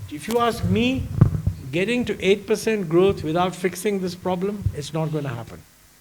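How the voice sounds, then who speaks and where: Over noticeable background noise and audible room echo, a man speaks at a moderate pace with lively intonation. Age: 80s+. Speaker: economist. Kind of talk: fireside chat on stage.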